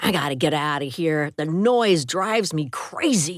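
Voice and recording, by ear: Someone does a put-on character voice that is gruff and sits at a middle pitch.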